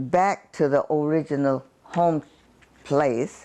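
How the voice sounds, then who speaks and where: The speaker is a woman. Her pitch moves up and down in an ordinary way. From rural Georgia, US. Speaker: former aircraft sheet metal worker. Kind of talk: oral history interview answer.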